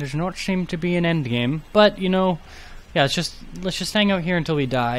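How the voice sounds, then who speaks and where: Soft-spoken, a man talks at a fairly quick pace with ordinary pitch variation. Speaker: gaming YouTuber. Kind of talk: gameplay commentary. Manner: soft-spoken, trails off.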